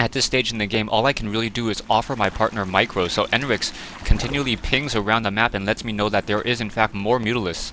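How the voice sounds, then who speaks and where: Someone talks at a very fast clip with fairly even intonation over noticeable background noise. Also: man, medium pitch for a man. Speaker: gaming commentator. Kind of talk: game replay commentary. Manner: stuttering.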